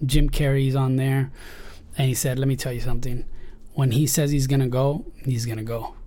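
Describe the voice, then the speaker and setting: A man speaks at medium pitch and a moderate pace, his voice somewhat breathy with a dark, mellow tone. His intonation is monotone and flat, and audible room echo surrounds him. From Spain, then San Diego from age 14. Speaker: Steadicam operator. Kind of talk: casual chat.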